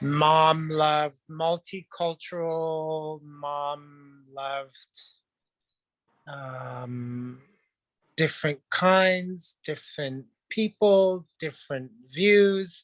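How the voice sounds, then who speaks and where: A man with a French Canadian accent, his pitch fairly high, at a very slow pace, with ordinary pitch variation and big swings in loudness, on a very clean recording with a silent background and a dry, close sound with no echo. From Quebec, Montreal. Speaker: dancer, actor and model. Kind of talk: interview.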